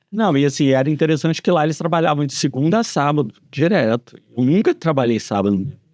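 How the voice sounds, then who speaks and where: Speaking at a very fast pace with very even loudness, a man with a Minas Gerais accent has a fairly high pitch and lively intonation, the sound dry and close with no echo over a quiet background. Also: hardly any pauses. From Brazil, Belo Horizonte (Minas Gerais) from age ten. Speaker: civil engineer. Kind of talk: podcast interview.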